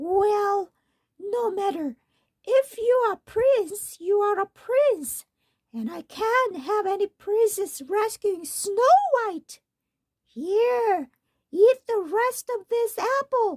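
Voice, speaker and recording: A woman's put-on character voice, squeaky and croaky, at an extremely high pitch and a very slow pace. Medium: read story.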